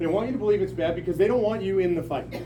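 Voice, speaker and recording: A man with a high voice speaks in an animated tone, with noticeable background noise and audible room echo. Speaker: political activist speaker. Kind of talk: town hall speech. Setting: packed meeting room with audience.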